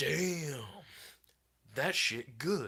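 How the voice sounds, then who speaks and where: The speaker uses a put-on character voice with lively intonation. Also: man. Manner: casual, approving.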